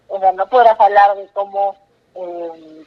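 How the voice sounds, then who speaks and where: A woman is talking. Her pitch is medium. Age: 20s. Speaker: young entrepreneur and author. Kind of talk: interview. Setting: phone call.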